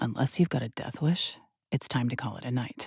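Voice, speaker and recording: A put-on character voice growls at a low-to-middle pitch. The pace is fairly quick. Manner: threatening, growling.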